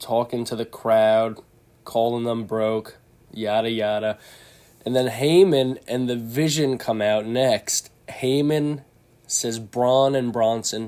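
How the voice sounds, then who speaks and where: Very slowly, a man speaks in a dark, mellow tone. His medium-pitched voice keeps fairly even intonation. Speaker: wrestling podcast host. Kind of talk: casual recap monologue.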